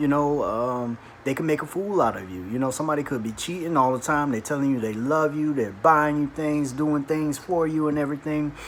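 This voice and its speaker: Over noticeable background noise, a man with a fairly high pitch talks at a fairly quick pace, his pitch varying in an ordinary way. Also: hardly any pauses. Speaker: atheist video blogger. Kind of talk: response video monologue. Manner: hesitant with fillers.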